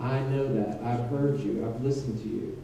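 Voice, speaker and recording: With a Georgia accent, a man talks at a moderate pace and fairly even intonation, amid audible room echo and noticeable background noise. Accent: Southern American (Georgia). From Savannah, Georgia, US South. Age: 40s. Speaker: mayoral candidate, attorney. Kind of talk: political forum speech.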